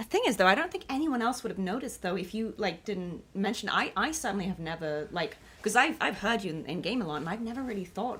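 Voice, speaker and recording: Very fast speech from a woman at medium pitch, with hardly any pauses, very wide pitch swings and noticeable background noise. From international school background. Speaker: voice actress and streamer. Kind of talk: casual chat. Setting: livestream.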